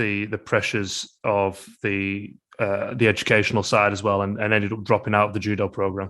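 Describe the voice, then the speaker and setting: A man with a British accent at a moderate pace, against a quiet background. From UK. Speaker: podcast host. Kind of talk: podcast interview.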